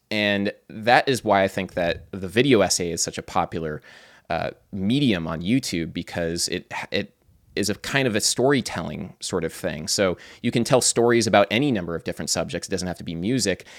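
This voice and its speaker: A man with a fairly low voice talks at a fairly quick pace in an ordinary speaking voice with ordinary pitch variation, recorded very cleanly against a silent background with a dry, close sound and no echo. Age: 20s. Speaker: musician and YouTuber. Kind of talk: casual chat.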